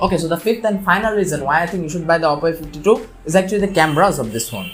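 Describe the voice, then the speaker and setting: Music plays in the background. The talking comes at a very fast pace. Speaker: tech reviewer. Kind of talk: product review to camera.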